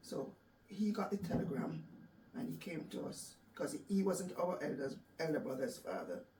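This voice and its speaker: Over noticeable background noise, a woman with a medium pitch talks at a moderate pace, her pitch swinging very widely. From Jamaica. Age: 60s. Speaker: cancer survivor. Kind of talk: interview.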